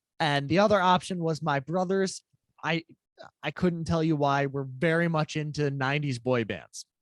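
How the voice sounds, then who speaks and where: In an American accent, a plain, everyday voice moves at a moderate pace with ordinary pitch variation and a dry, close sound with no echo. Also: man, fairly high pitch for a man. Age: 20s. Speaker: musician, interview guest. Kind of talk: interview, personal testimony.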